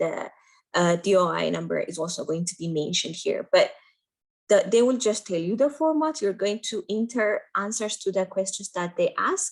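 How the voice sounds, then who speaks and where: This woman has a non-native accent. She speaks at a fairly quick pace. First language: Amharic. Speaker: medical doctor and residency application mentor. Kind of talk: tutorial. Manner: hesitant, with fillers.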